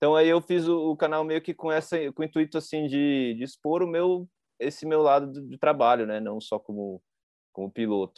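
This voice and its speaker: This is an unremarkable speaking voice. A man talks at a fairly high pitch. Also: ordinary pitch variation, moderate pace. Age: 30s. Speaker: podcast host and freestyle motocross rider. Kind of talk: casual chat.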